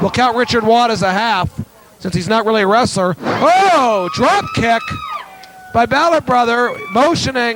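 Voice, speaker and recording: A man talks at a fairly slow pace in an extremely high voice with lively intonation. Noticeable background noise sits behind him. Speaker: wrestling announcer. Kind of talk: live wrestling play-by-play commentary.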